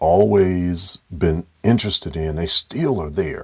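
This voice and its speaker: In an American accent, a man speaks with ordinary pitch variation. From US Midwest (Dayton, Ohio). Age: 40s. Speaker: artist and educator. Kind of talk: interview answers. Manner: halting, many fillers.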